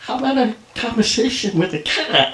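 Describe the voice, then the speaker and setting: A man's put-on character voice at an extremely high pitch, moderate pace and slight echo. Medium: stage play. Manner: dry, self-assured, teasing.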